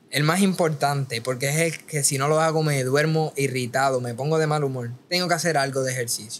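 A man's normal speaking voice, fairly high and fairly quick, with fairly even intonation and hardly any pauses. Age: 20s. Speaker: boxing content creator; podcast guest. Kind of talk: casual chat. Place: studio. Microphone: studio mic.

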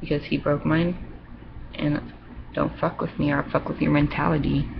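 Noticeable background noise runs through the clip. A woman talks at a moderate pace. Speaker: vlogger. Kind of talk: casual webcam monologue, reading aloud and rambling. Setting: webcam video, home. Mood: upset about relationship. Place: home room. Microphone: webcam.

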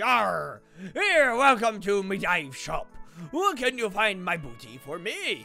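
A man's put-on character voice, high-pitched and fairly slow, with faint music in the background

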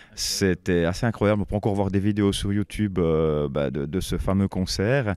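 A man speaks at a moderate pace and a fairly low pitch with ordinary pitch variation. The sound is dry, with no echo. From French-speaking Switzerland. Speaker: singer and composer of a metal band. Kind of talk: band interview. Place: hall.

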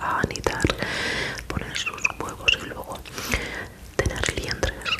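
At a very slow pace, a woman whispers. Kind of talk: soft-spoken ASMR roleplay. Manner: soft, close-mic ASMR speaking. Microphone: studio mic.

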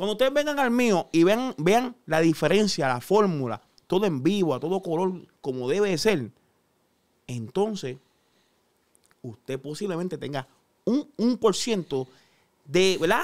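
In a Puerto Rican accent, the speaker talks at a moderate pace with very wide pitch swings. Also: man. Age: 30s. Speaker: chef. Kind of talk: casual chat. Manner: animated.

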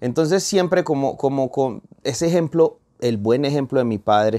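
A man's dark, mellow voice over a quiet background. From Colombia. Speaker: urban music singer; guest. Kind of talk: interview. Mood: warm, animated storytelling. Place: studio. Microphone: lapel.

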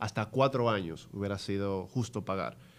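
The pace of this man's speech is fairly slow. His pitch moves with ordinary variation. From Dominican Republic. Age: 30s. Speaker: investment firm representative; podcast guest. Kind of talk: interview. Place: studio. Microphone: studio mic.

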